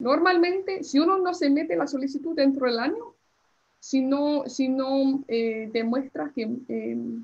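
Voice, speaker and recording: With an English accent, a woman speaks at a high pitch with lively intonation. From US Northeast (New Jersey), born in Colombia. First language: English (speaking Spanish). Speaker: immigration lawyer. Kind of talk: lecture. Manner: halting, many fillers.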